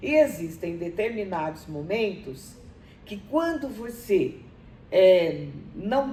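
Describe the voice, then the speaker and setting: Amid audible room echo, a woman speaks very slowly in a dark, mellow, somewhat breathy tone with very wide pitch swings. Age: 70s. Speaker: university professor. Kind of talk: interview. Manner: halting, many fillers.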